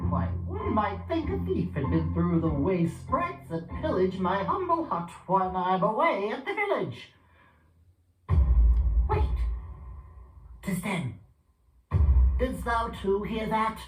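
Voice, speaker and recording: In a put-on character voice, the speaker goes at a fairly slow pace with long, frequent pauses and a slight echo. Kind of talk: mock-archaic stage speech. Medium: stage play.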